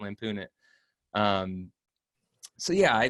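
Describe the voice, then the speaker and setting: A man speaks with very wide pitch swings. The sound is dry and close, with no echo. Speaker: voice over artist and impersonator. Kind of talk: interview answer about craft. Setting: video call interview.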